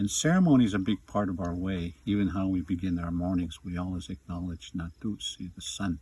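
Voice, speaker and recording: In a dark, mellow tone, a man with a very deep, low pitch talks at a fairly quick pace, somewhat breathy, with fairly even intonation and hardly any pauses. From Kainai Nation, southern Alberta. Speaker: elder and knowledge keeper. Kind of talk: teaching talk.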